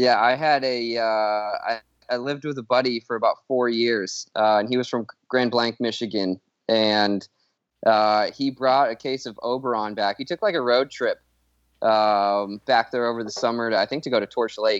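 This man has an unremarkable speaking voice with an American accent and a medium pitch. He talks at a moderate pace with fairly even intonation. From Colorado. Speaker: pickleball group founder, sporting goods buyer. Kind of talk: casual chat.

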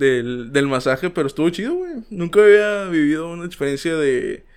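A man talks with a Mexican accent. His pace is moderate. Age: 20s. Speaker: podcast host. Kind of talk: casual chat. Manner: animated.

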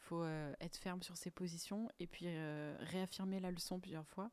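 Fairly slow delivery in a calm tone with fairly even intonation. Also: woman. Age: 20s. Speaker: podcast host. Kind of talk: solo podcast monologue.

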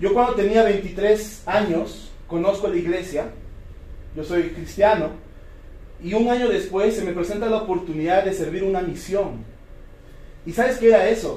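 Over noticeable background noise and audible room echo, a man with a high pitch speaks at a fairly slow pace, leaving long, frequent pauses. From Peru, Cusco. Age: 30s. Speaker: network marketing distributor. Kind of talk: motivational talk. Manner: animated.

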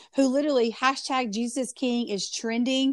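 A woman's animated, high voice in a strong Southern US accent at a moderate pace, in a very clean recording with a silent background. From US South, North Carolina. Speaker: pastor and podcaster. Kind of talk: casual interview.

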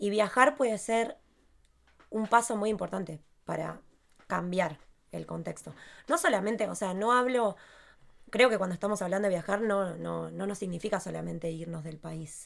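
Moderate pace with long, frequent pauses and big swings in loudness, in a very clean recording with a silent background. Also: woman, medium pitch for a woman, ordinary pitch variation. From Argentina. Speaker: podcast co-host. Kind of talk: casual chat.

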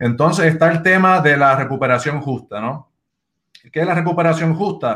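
With a bright, sharp tone, a man speaks in a fairly high pitch at a moderate pace, showing ordinary pitch variation. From Puerto Rico (Bayamón). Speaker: campaign strategist, organization co-founder. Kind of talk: interview on live video show. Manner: halting, many repetitions.

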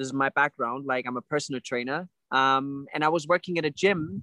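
Recorded with a dry, close sound and no echo, a man speaks at a moderate pace. His tone is bright and sharp, with ordinary pitch variation. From Germany. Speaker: life coach and personal trainer. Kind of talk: casual interview.

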